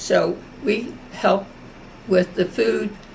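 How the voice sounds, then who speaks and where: A woman's voice over noticeable background noise. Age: 80s+. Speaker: war veteran. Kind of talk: oral history interview.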